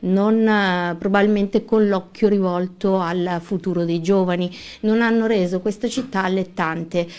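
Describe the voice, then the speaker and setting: The speaker is a woman with a medium-pitched voice. Her intonation is fairly even throughout. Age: 40s. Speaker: lawyer and local election candidate. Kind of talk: radio interview. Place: studio. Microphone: studio mic.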